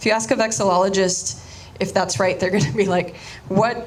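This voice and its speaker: A woman with a Spanish accent at a moderate pace, ordinary pitch variation, noticeable background noise, and audible room echo. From Miami, Florida (Cuban exile community). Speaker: artist. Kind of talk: artist talk. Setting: audience.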